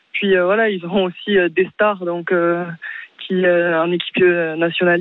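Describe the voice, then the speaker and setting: Against music in the background, a woman speaks. Her intonation is monotone and flat. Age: young. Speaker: volleyball player. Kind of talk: radio interview.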